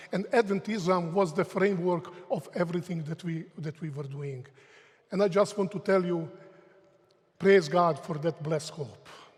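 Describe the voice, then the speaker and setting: A man with a Croatian accent speaks at a high pitch and a moderate pace, with ordinary pitch variation and long, frequent pauses. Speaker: theology professor. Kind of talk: lecture.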